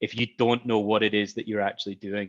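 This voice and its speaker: A man speaks with a Scottish accent. His pitch is medium and his intonation fairly even. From Scotland. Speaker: software company expert. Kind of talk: panel interview. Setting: virtual event.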